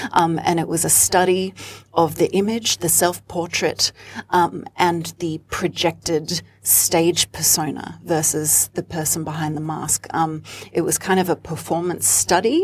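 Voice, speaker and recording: At a fairly slow pace, a woman with an Australian accent speaks in a fairly low pitch with fairly even intonation. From Australia (Sydney), childhood partly in Rome. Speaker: singer and performer. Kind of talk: interview.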